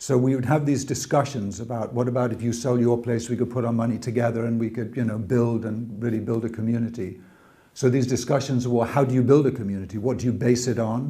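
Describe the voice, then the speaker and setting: In an RP accent, a man talks at a very fast pace and a medium pitch, somewhat breathy, with flat, monotone intonation. His tone is dark and mellow, with audible room echo. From England. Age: 60s. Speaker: convert telling his story. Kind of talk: interview testimony. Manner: halting.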